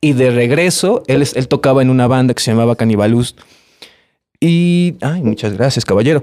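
In a dark, mellow tone, a man at a medium pitch speaks at a moderate pace with ordinary pitch variation and very even loudness. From Veracruz, Mexico (Pánuco). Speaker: musician. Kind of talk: casual chat.

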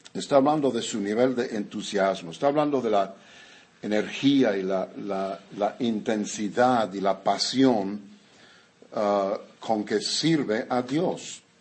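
Fairly low in pitch with ordinary variation, a man talks at a very slow pace. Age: 70s. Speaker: pastor. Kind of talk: sermon.

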